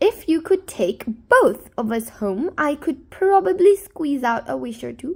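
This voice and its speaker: A woman puts on a character voice at a high pitch, with very wide pitch swings. She speaks at a fairly slow pace with hardly any pauses. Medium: read story. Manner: tart, dry.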